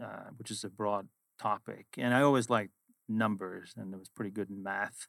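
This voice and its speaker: In a very clean recording with a silent background, a man with a Swedish accent speaks at a moderate pace, his bright, sharp tone dry and close with no echo. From Sweden. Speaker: finance executive. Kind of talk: interview. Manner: direct.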